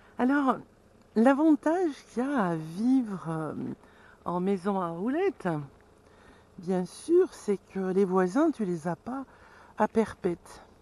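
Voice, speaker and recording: At a very slow pace with long, frequent pauses, a woman of medium pitch uses very wide pitch swings in a dark, mellow tone, in a dry sound with no echo. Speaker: vlogger living in a camper van. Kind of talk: casual vlog chat. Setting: outdoors near camper van, filming herself. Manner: casual, chatty. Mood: cheerful, relaxed. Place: open country. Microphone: phone near.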